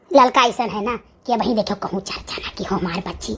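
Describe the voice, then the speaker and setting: A woman's cartoonish character voice, fairly high in pitch, at a fairly quick pace. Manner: brisk, motherly, scolding.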